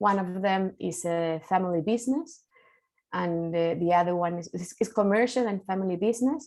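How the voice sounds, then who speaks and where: A woman with a Spanish accent speaks at a medium pitch and a moderate pace, with ordinary pitch variation. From Chile. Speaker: mediator, keynote speaker. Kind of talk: conference keynote talk. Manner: halting, many fillers.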